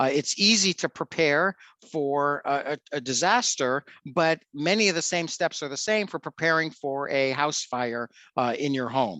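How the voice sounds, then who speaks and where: Bright and sharp in tone, a man talks at a moderate pace and fairly high pitch with ordinary pitch variation, in a dry, close sound with no echo and a quiet background. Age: middle-aged. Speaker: fire safety presenter for a volunteer charity. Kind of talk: presentation with Q&A. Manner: halting with many fillers.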